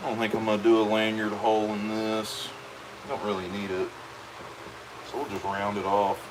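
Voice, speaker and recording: A man with a fairly low pitch speaks in a monotone, flat way with long, frequent pauses, over noticeable background noise and audible room echo. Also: moderate pace. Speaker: leatherworker. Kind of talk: live stream chat while working. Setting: workshop. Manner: loud; casual, relaxed.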